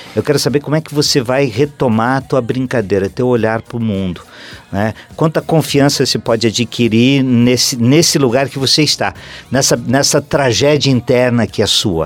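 With music in the background, the man's voice shows ordinary pitch variation. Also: medium pitch for a man, moderate pace. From Santa Catarina interior, Brazil. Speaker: theatre actor. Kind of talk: interview. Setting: radio studio. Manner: halting.

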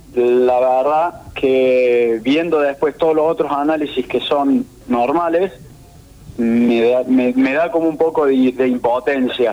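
Noticeable background noise sits behind a man with a medium pitch and very even loudness. He speaks at a very slow pace with fairly even intonation. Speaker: competitive swimmer. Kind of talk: interview.

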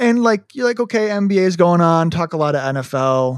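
On a very clean recording with a silent background and a dry, close sound with no echo, a man with a Midwestern American accent speaks at a moderate pace in a high pitch with lively intonation. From US Midwest. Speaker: sports podcast co-host. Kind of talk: casual chat. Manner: loud.

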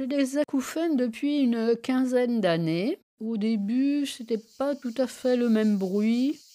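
A woman's high voice with a dark, mellow tone, very slow pace, and ordinary pitch variation. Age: 70s. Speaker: retiree living alone with tinnitus. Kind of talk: personal testimony. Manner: halting.

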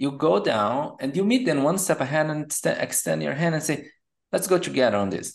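Against a quiet background, a man with a Portuguese accent speaks at a moderate pace with a fairly high pitch, vocal fry and very wide pitch swings. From Brazil. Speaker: product management coach. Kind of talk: interview.

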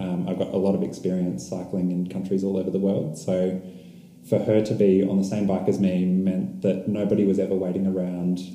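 Amid noticeable background noise and audible room echo, a man with an Australian accent speaks in a very deep, low voice with monotone, flat intonation. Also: fairly quick pace. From Australia, Melbourne. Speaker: long-distance cyclist. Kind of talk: casual interview. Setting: in person, San Cristobal.

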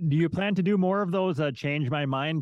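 With a Midwestern American accent, a man talks at a fairly quick pace with ordinary pitch variation. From Minnesota, US Midwest. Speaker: podcast host. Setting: video call.

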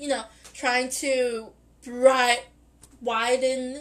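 A woman speaking in an animated tone. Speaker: podcast host. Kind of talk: casual monologue. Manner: rambling, animated with laughter.

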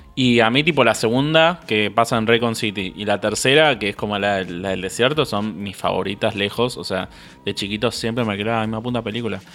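Here a man speaks at a fairly quick pace. His pitch varies in an ordinary way. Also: medium pitch for a man. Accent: Rioplatense. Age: 20s. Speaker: podcast co-host. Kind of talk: casual chat.

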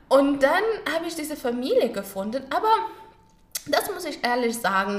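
There's audible echo from the room around this woman's voice. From Afghanistan, Kabul. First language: Pashto and Dari (speaking German). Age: 20s. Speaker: au pair and former journalist. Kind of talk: interview. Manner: halting.

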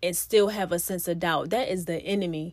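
The delivery comes at a moderate pace with ordinary pitch variation. The recording is very clean, with a silent background. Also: woman. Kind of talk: fervent prayer. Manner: earnest, pleading, rhythmic, repeating 'Lord God' and 'God' between phrases; impassioned, building intensity as she decrees and declares.

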